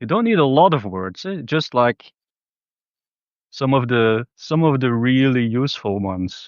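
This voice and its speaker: Relaxed in tone, a man with a Flemish accent speaks at a medium pitch and a fairly slow pace with lively intonation. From Belgium (Flanders). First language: Dutch (Flemish). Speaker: spiritual vlogger. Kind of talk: casual monologue. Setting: outdoors in a public park. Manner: relaxed, free-form with hesitations.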